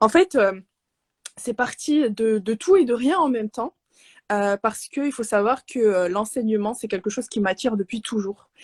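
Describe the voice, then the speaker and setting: A woman talks at a moderate pace with fairly high pitch and ordinary pitch variation. The sound is dry and close, with no echo. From Morocco. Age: 20s. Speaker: Arabic teacher and speech therapist. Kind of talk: interview. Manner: soft-spoken; halting, many hesitations.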